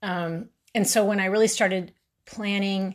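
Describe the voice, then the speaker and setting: This woman has a Texan accent and ordinary pitch variation. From Texas, Houston. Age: 40s. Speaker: true crime podcaster. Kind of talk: monologue narrating a true crime case. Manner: halting, many fillers.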